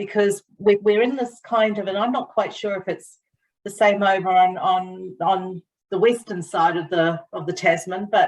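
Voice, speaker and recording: A woman speaks at a medium pitch and a moderate pace. Her intonation is fairly even, with a New Zealand accent. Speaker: tourism industry professional. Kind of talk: webinar question. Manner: halting.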